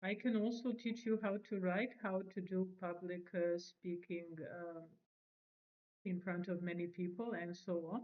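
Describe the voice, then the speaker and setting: A woman with a Serbian accent speaks at a medium pitch and fairly slow pace with fairly even intonation. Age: 40s. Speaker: language teacher and vlogger. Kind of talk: self-introduction monologue. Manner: hesitant, many fillers.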